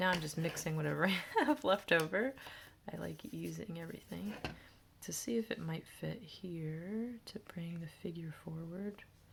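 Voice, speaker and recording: A woman speaks in a plain, everyday voice, pitched fairly low. Her intonation is lively. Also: moderate pace, big swings in loudness. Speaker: art teacher. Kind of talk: tutorial. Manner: casual thinking aloud.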